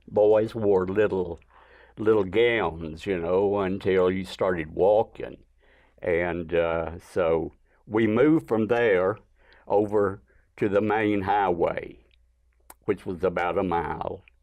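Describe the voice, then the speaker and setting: With an Alabama accent, a man talks at a very slow pace in a fairly low pitch and with fairly even intonation. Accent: Southern US (Alabama). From US South, northwest Alabama. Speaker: artist. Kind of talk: interview, personal life story.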